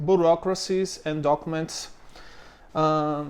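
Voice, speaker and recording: Against a quiet background, a man with a Brazilian accent speaks at a fairly slow pace in a high pitch. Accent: Brazilian accent, non-native English. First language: Portuguese. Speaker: business owner explaining local bureaucracy. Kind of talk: tutorial. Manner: halting, many fillers.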